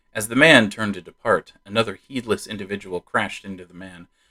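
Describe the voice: This is plain reading aloud, and the pitch shifts by an ordinary amount.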